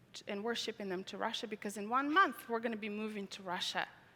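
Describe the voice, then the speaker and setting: Talking at a fairly quick pace, a woman with a non-native accent uses a fairly high pitch. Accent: foreign. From Tajikistan. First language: Russian. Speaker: conference speaker. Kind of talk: testimony. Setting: stage with audience.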